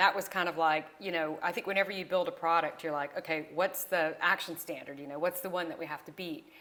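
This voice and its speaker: Speaking at a medium pitch, a woman talks with a Southern US accent. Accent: Southern twang. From US South. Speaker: entrepreneur. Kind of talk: interview.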